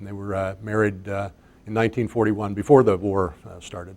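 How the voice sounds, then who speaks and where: The speaker has an American accent. Their intonation stays fairly even. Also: man. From US South, South Florida. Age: 60s. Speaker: longtime local resident. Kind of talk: oral history interview. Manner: halting, many filler uhs.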